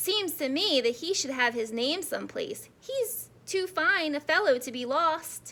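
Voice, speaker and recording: A woman puts on a character voice at an extremely high pitch, with very wide pitch swings. She keeps a moderate pace with hardly any pauses. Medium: read story. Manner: thoughtful, warm.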